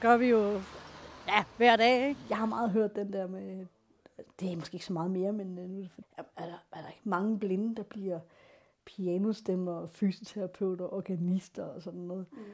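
A woman at a moderate pace, medium in pitch, with ordinary pitch variation and big swings in loudness. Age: 40s. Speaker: blind piano tuner. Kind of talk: personal testimony. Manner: halting.

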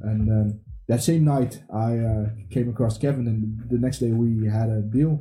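A man speaks with a Dutch accent in a dark, mellow tone. His delivery is somewhat breathy, with fairly even intonation. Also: medium pitch for a man, moderate pace, very even loudness. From DR Congo, raised in the Netherlands. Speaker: tech entrepreneur. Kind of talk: radio interview. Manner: halting, frequent repetitions.

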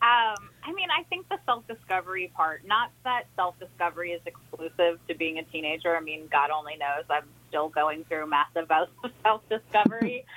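In an American accent, a woman with an ordinary speaking voice and fairly low pitch talks at a moderate pace with hardly any pauses and ordinary pitch variation. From New Orleans, US. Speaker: author. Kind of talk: interview.

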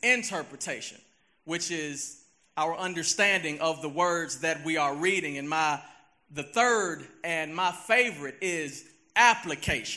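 Speaking very slowly in a Southern US accent, a man with a high pitch and a bright, sharp tone uses ordinary pitch variation. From US South, Memphis, Tennessee. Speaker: lay preacher. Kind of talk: sermon. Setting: church.

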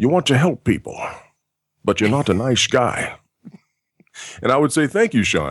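With an American accent and vocal fry, the voice keeps very even loudness through very wide pitch swings, moving at a moderate pace with long, frequent pauses. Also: man. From Texas. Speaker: voice actor. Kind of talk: interview.

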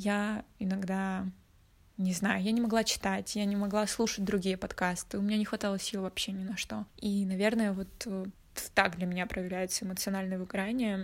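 A woman speaks at a medium pitch in a flat, monotone delivery, recorded very cleanly against a silent background. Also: moderate pace. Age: 20s. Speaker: podcast co-host. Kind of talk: casual chat. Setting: call.

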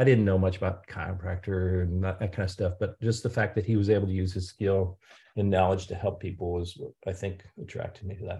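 Against a quiet background, a man with an American accent speaks at a fairly quick pace in a very deep, low, somewhat breathy voice, dark and mellow in tone, with monotone, flat intonation. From US Midwest, St. Louis, Missouri. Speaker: emergency physician. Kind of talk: interview.

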